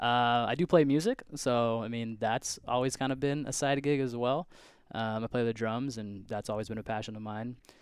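The recording is very clean, with a silent background. A man uses a normal speaking voice at medium pitch and a moderate pace. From Washington State, US Pacific Northwest. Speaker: chiropractor. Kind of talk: casual chat.

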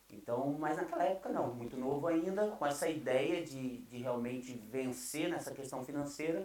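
A man talks in a fairly high voice while noticeable noise fills the background. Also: ordinary pitch variation, moderate pace, hardly any pauses. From Brazil. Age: 30s. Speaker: pastor. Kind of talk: casual interview chat.

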